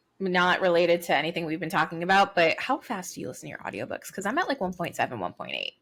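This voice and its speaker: Barely pausing, a woman rushes along very fast at a fairly low pitch, with lively intonation and vocal fry. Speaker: podcast co-host. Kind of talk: casual chat.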